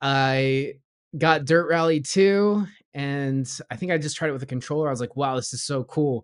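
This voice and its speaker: Using an ordinary speaking voice, a man speaks at a moderate pace with a fairly high pitch and ordinary pitch variation. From Southern California, US. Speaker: YouTuber and sim racer. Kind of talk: casual interview chat.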